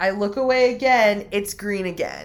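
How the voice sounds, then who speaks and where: Music plays behind a woman who speaks at a fairly slow pace, with a fairly high pitch and ordinary pitch variation. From Mexican-American, US. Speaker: podcast host and witch. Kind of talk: casual chat.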